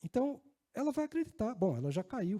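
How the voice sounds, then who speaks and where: With a northeastern Brazilian accent, a man speaks at a moderate pace. His tone is dark and mellow, and his pitch swings very widely. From Northeast Brazil, Natal (Rio Grande do Norte). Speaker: risk management executive and conference speaker. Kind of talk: conference talk. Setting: stage with audience. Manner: conversational, with filler words.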